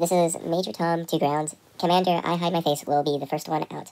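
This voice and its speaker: A woman puts on a raspy character voice at a fairly low pitch. She talks at a fairly quick pace with monotone, flat intonation. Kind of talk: mock radio-protocol roleplay. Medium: machinima.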